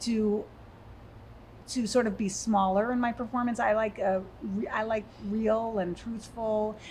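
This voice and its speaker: Soft-spoken and slow, a woman with an American accent talks in a fairly high, flat, monotone voice, leaving long, frequent pauses. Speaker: actress and theatre company owner. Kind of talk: interview conversation. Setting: podcast studio, shared microphone. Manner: halting, with fillers and repeats.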